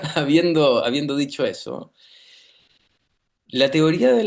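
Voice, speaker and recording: A man speaks with a Chilean accent at a very slow pace. The background is quiet. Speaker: clinical psychologist and researcher. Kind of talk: interview. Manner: animated.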